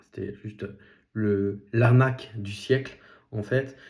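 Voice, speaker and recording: Medium-pitched male voice of dark, mellow tone and fairly even intonation. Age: 30s. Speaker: podcast host, nurse and property investor. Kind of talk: solo podcast monologue. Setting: self-filmed vlog. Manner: halting, many fillers.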